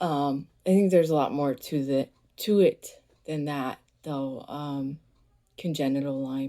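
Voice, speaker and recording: At a moderate pace, a woman talks in a very deep, low pitch with a dark, mellow tone, fairly even intonation, big swings in loudness, and long, frequent pauses. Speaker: wellness vlogger. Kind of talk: casual vlog monologue. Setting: bedroom. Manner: halting, many fillers.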